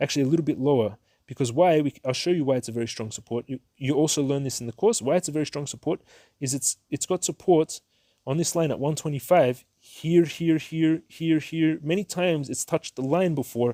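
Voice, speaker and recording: A man's dark, mellow voice at a fairly high pitch and a fairly quick pace, with ordinary pitch variation, on a very clean, dry, close recording with no echo and a silent background. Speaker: stock market youtuber and trading teacher. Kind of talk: tutorial. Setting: indoors at home, moving between rooms. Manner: fast; animated.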